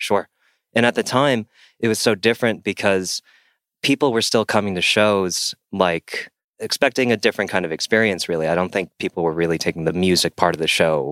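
In a very clean recording with a silent background and a dry, close sound with no echo, a man speaks with an American accent and an ordinary speaking voice. His fairly low pitch shows ordinary pitch variation at a fairly quick pace. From US West Coast, San Diego. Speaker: touring multi-instrumentalist. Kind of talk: casual chat.

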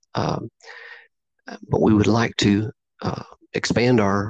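With an American accent, a man talks at a fairly slow pace and a fairly low pitch. The sound is dry and close with no echo, and his intonation is fairly even. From southeastern Oklahoma. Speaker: Bigfoot researcher. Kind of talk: interview. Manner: hesitant, many fillers.

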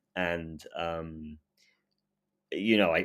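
On a very clean recording with a silent background, a man with an English accent speaks with ordinary pitch variation. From England. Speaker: urban explorer. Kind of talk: casual interview. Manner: halting, repetitive fillers.

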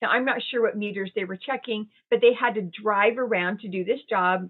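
A woman with a plain, everyday voice talks at a moderate pace, using fairly even intonation and a fairly high pitch. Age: 60s. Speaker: resilience and well-being advisor. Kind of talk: interview.

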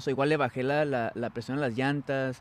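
A man's voice at a moderate pace. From US, San Francisco Bay Area. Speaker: entrepreneur, trailer maker. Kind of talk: casual interview. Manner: hesitant, many fillers.

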